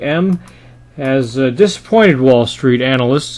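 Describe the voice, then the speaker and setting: A man with a fairly high pitch talks at a fairly slow pace. He has a plain, everyday voice. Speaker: market commentator. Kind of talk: financial market commentary to camera. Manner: conversational, with frequent filler 'uh'.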